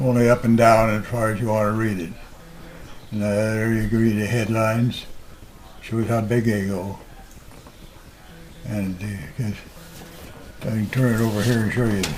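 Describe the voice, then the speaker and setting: A man with a medium-pitched voice speaks at a moderate pace in a monotone, flat intonation. He takes long, frequent pauses, with noticeable background noise behind him. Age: 80s+. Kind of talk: interview answer. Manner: hesitant, conversational.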